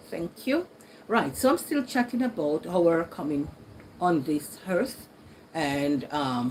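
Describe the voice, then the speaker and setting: With a Jamaican accent, a woman speaks at a very slow pace in a fairly low pitch, her voice making very wide pitch swings over noticeable background noise. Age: 60s. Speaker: YouTuber. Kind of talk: casual chat. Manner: conversational.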